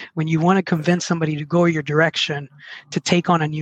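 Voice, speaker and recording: A man talks with a Spanish accent in a fairly high voice. The sound is dry and close with no echo, and his intonation is fairly even. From Mexico, then southwest Virginia from age 11. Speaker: sales and service trainer. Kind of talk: interview conversation.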